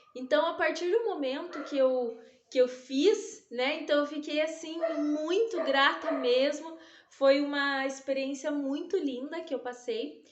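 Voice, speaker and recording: Amid audible room echo, a woman talks at a fairly slow pace in a high pitch with ordinary pitch variation. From southern Brazil, interior of Paraná. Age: 30s. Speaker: dance teacher. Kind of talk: self-presentation testimony. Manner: hesitant, with fillers and restarts.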